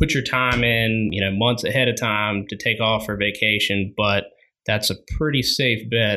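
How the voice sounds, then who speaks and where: This man has an American accent and a bright, sharp tone. He talks at a fairly low pitch and moderate pace with fairly even intonation. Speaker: outdoor store employee and hunter. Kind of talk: casual chat.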